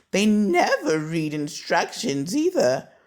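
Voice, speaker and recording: Put on as a character voice, the speech sits at a middle pitch and moves at a fairly slow pace. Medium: read story.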